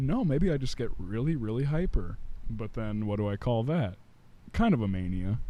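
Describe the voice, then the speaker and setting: A man's dark, mellow voice in an American accent, lively in intonation, with audible room echo. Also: medium pitch for a man, moderate pace. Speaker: young entrepreneur. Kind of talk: casual chat. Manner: loud, voice carries.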